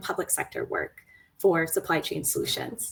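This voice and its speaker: Moderate pace with a slight Boston accent. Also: woman. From Boston area, US. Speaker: program manager. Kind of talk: panel talk.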